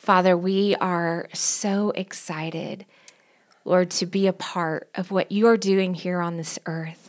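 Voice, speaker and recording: Speaking at a very slow pace, a woman talks in a Southern US accent. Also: medium pitch for a woman. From US South, Knoxville, Tennessee. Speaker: pastor and worship leader. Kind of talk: casual chat. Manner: animated.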